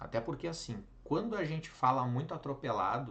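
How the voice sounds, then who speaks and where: The speech moves at a moderate pace with ordinary pitch variation. Room echo can be heard. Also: man. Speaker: teacher. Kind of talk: lecture. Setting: live online class.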